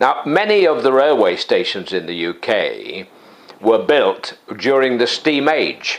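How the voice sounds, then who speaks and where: A man speaks with a Lancashire accent. His pace is fairly slow. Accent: northern English (Lancashire). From northern England, Warrington, Cheshire. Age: 70s. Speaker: vlogger. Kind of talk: vlog monologue. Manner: hesitant, with frequent fillers.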